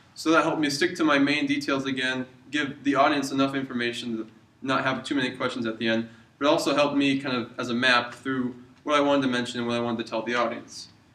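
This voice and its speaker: Over noticeable background noise, a man rattles along at a very fast pace in a monotone, flat intonation. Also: medium pitch for a man. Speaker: university student. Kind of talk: video reflection.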